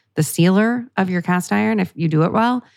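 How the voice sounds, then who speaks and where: Recorded very cleanly against a silent background, a woman with a normal speaking voice talks at a moderate pace, her pitch fairly low and her intonation lively. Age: 30s. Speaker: podcast host and cookbook author. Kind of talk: casual advice chat. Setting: studio.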